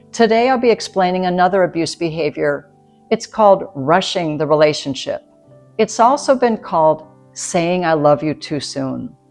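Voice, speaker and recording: With music in the background, a woman with a fairly low voice speaks at a moderate pace and with lively intonation. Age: 60s. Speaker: nurse midwife. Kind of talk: educational talk to camera.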